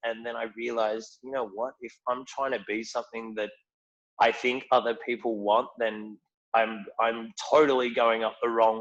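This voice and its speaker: Speaking in a strong Australian accent, a man talks at a moderate pace with monotone, flat intonation. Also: medium pitch for a man. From rural Australia. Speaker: whisky ambassador. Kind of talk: casual chat.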